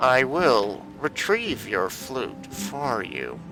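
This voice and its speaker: Over clear background music, a man does a put-on character voice at a medium pitch and a very slow pace. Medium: game stream. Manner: sarcastic, exasperated.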